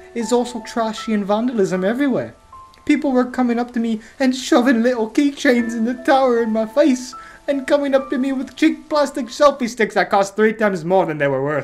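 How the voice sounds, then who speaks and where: Over clear background noise and faint background music, a female-sounding put-on character voice whines along at a fairly quick pace. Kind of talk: reading reviews aloud, comedic. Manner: whiny, bitchy.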